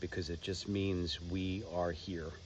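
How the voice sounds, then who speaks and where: A man's very deep, low voice at a fairly slow pace. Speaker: spiritual vlogger. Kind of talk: casual monologue.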